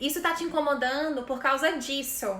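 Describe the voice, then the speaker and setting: A woman's high-pitched, raised and projected voice carries ordinary pitch variation, with audible room echo around it. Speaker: image consultant. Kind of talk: live online class. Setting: live stream.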